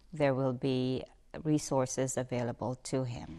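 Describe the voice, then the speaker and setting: A woman's very deep, low voice at a fairly slow pace, with fairly even intonation, in a very clean recording with a silent background. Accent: Filipino. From Philippines, Batangas City. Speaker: bank executive. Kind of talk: interview testimony. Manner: halting, with fillers and restarts.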